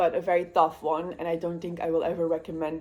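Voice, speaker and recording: With a Flemish accent, a woman speaks at a fairly quick pace. Her fairly low voice has a dark, mellow tone and monotone, flat intonation. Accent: Belgian Dutch (Flemish) accent in English. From Belgium, Dutch-speaking part. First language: Dutch. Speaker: booktuber, student nurse. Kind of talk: casual vlog chat. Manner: rambling, hesitant with many fillers.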